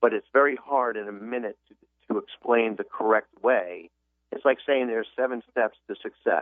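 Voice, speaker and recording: This man's voice sits at a medium pitch. The intonation is fairly even. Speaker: author and business consultant. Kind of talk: radio interview. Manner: fast.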